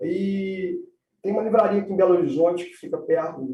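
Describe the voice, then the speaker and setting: Music plays in the background as the speaker talks at a moderate pace. The voice has a Minas Gerais accent and lively intonation. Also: man. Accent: Minas Gerais (mineiro). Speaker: environmental law professor and lawyer. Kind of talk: live-stream interview.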